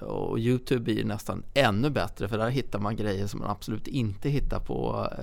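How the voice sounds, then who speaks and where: There is audible room echo around a man's fairly low-pitched voice. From Stockholm, partly Småland. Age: 40s. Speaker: property company CEO. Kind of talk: podcast interview. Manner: some hesitation, repeated words.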